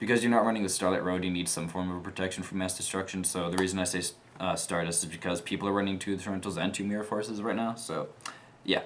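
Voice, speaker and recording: A man's very deep, low voice, very fast and monotone with flat intonation. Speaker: gaming channel host, card game player. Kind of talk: tutorial. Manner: stuttering, many fillers; casual, filler-heavy.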